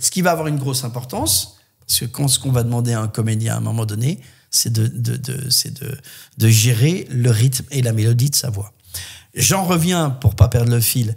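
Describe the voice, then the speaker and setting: A man's somewhat breathy voice at medium pitch, moderate pace and ordinary pitch variation. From southwest France (Landes). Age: 60s. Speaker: voice actor and musician. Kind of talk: podcast interview, life story.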